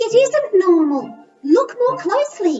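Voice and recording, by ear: A squeaky, female-sounding cartoonish character voice at an extremely high pitch, with very wide pitch swings and a fairly slow pace.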